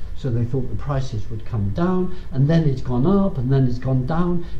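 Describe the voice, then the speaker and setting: A man speaks with an English accent, fairly high pitch and lively intonation. Noticeable background noise and audible room echo fill the recording. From Britain. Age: 60s. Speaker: professor. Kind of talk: lecture.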